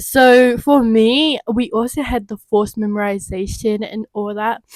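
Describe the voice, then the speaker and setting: With an Australian accent, a woman speaks at a fairly slow pace, her fairly high pitch held in fairly even intonation, in a dry, close sound with no echo. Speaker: English teacher. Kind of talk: podcast conversation.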